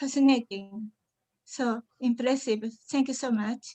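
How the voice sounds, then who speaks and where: Speaking very slowly with a Japanese accent, a woman has a high-pitched voice with a dry, close sound and no echo. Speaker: audience member. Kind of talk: audience question. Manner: halting.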